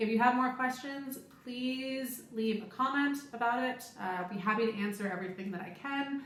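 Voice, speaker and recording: A woman with an American accent, in a room with audible echo. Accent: American, noticed by others. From United States. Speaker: cruise ship crew member and vlogger. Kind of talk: casual Q&A vlog. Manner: conversational with fillers.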